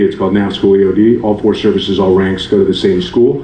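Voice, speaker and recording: A man with a fairly low pitch talks at a very fast pace. The recording has audible room echo and noticeable background noise. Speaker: sports executive, former military. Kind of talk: panel talk.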